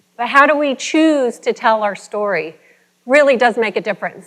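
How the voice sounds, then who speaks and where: The pace of this woman's speech is moderate. Her pitch shows ordinary variation. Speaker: motivational speaker. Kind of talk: motivational keynote talk. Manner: energetic, engaging.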